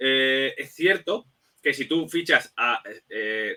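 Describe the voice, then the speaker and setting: Here a man talks at a fairly high pitch. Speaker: football analyst. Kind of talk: casual chat. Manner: fast.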